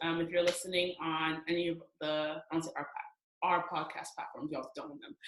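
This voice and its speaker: The speaker is a woman. She has a plain, everyday voice. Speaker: podcast host. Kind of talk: casual interview; podcast intro. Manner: casual.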